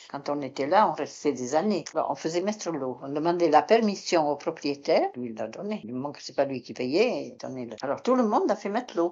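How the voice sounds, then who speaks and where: With a Béarn accent, a woman with a very deep, low pitch talks at a fairly quick pace, her pitch swinging very widely and her loudness swinging a lot. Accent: Béarn accent, kept. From Béarn, southwest France. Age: 80s+. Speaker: retired concierge. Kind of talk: interview testimony. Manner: halting; calm.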